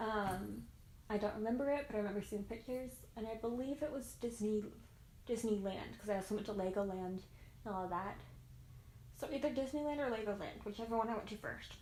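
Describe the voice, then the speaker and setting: With an American accent, a woman speaks at a very fast pace in a fairly high pitch with ordinary pitch variation and long, frequent pauses, amid audible room echo. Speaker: YouTuber. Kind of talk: casual Q&A vlog.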